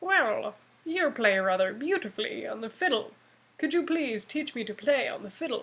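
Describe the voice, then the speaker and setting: In a put-on character voice, the speaker uses a high pitch with very wide swings at a moderate pace. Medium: read story.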